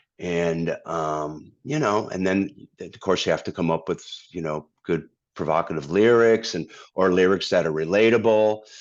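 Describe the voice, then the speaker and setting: With an American accent, a man speaks in a very deep, low pitch at a moderate pace. His pitch variation is ordinary, and the background is quiet. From Massachusetts, US. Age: 60s. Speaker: singer-songwriter and guitarist. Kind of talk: interview conversation. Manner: halting, many fillers and repeats.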